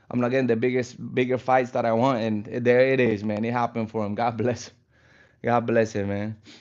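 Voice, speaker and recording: A man in a Spanish accent, medium-pitched and relaxed in tone, at a moderate pace against a quiet background. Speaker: fitness streamer. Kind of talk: live stream casual chat. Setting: live stream while stretching. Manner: casual, relaxed.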